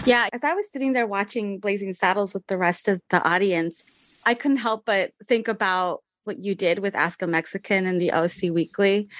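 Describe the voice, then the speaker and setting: A woman speaks in a normal speaking voice with an American accent, at medium pitch and a moderate pace with ordinary pitch variation. The background is quiet, and the sound is dry and close with no echo. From Southern California, Fontana. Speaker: interviewer. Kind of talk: interview.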